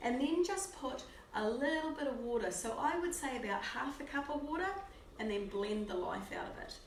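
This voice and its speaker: With a New Zealand accent and lively intonation, a woman speaks at a moderate pace against noticeable background noise and audible room echo. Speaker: cooking show host. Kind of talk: live cooking demonstration. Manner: casual and chatty.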